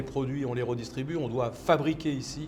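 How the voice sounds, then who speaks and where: Medium-pitched male voice at a moderate pace, with fairly even intonation. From France. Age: 60s. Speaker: entrepreneur. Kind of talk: interview. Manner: halting, many repetitions.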